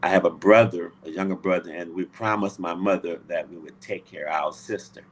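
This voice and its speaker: Fairly quick speech from a man with an American accent, very deep and low in pitch, with fairly even intonation. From US South, Louisiana. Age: 70s. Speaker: Navy veteran. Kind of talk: interview. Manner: halting.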